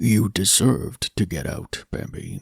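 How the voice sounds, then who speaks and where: A man in a put-on character voice growls quietly and fairly slowly at a medium pitch, the sound dry and close with no echo. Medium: read story. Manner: quiet, terse.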